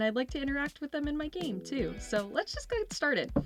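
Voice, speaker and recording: Music plays in the background as a woman talks at a fairly quick pace in an upbeat tone. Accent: American. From Kennett Square, Pennsylvania. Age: 20s. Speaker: musician and singer. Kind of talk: casual talk to camera over gameplay.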